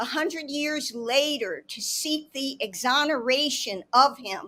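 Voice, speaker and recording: A woman projects a raised, high-pitched voice with a bright, sharp tone and lively intonation, speaking at a very slow pace. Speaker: panelist. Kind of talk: panel discussion. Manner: loud; animated.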